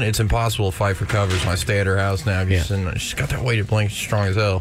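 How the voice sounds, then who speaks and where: Noticeable background noise under a man's rather low voice. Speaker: sports betting pundit. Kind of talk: sports picks segment. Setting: studio.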